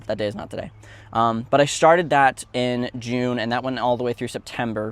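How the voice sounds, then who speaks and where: The speaker is a man with a medium pitch. His delivery is monotone and flat. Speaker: vlogger sharing personal story. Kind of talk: personal recap vlog, unscripted. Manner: fast; hesitant, many fillers and restarts.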